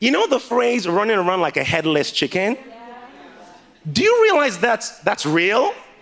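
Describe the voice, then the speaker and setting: Over noticeable background noise, a man speaks at a moderate pace and an extremely high pitch, with lively intonation and big swings in loudness. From Nigeria. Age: 30s. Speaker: preacher. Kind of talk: sermon. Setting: church with congregation.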